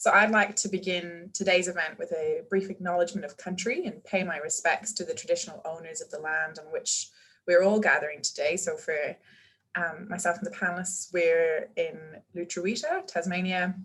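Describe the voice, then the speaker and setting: At a moderate pace, a woman with a slight Irish accent speaks with big swings in loudness. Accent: Irish, very soft. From Ireland. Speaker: medical researcher and panel moderator. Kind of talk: webinar panel hosting. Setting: video webinar.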